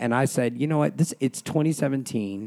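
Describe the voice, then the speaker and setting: An unremarkable speaking voice from a man at a fairly quick pace, with ordinary pitch variation, on a very clean recording with a silent background. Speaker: guest, performer and HIV-positive client. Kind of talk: casual chat.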